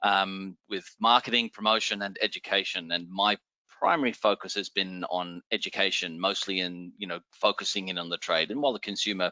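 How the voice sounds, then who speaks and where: Talking at a fairly quick pace, a man uses a fairly low pitch. His intonation stays fairly even. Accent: Australian. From Australia. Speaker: wine educator, former sommelier. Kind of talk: educational interview.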